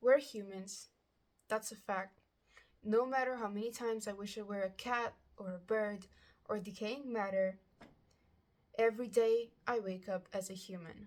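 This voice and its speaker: A woman speaks with a non-native accent. Her intonation stays fairly even. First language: not English. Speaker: amateur writer sharing a personal message. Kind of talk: reading aloud.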